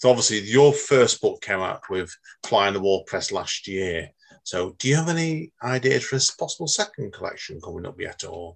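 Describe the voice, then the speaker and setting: With a Manchester accent, a man at medium pitch speaks at a moderate pace with vocal fry, very wide pitch swings and big swings in loudness. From northern England. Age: 40s. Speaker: podcast host. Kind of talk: casual interview. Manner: animated.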